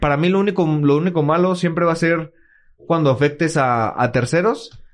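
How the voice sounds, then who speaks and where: A man with ordinary pitch variation. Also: very even loudness. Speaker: podcast co-host. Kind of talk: casual chat. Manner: halting.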